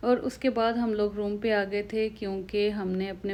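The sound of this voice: A woman speaks at a moderate pace with a medium pitch and a slightly mellow tone. Her pitch moves little.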